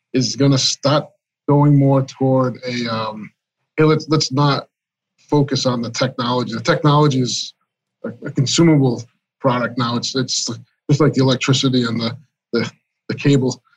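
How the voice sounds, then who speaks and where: A man's medium-pitched, somewhat breathy voice with an American accent, at a moderate pace with fairly even intonation and long, frequent pauses. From Massachusetts. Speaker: IT director. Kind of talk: casual interview chat.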